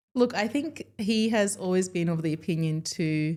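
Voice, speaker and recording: A woman's medium-pitched voice with a dark, mellow tone and an Australian accent, lively intonation at a moderate pace, in a very clean recording with a silent background. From Melbourne, Australia. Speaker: dentist. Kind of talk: podcast interview.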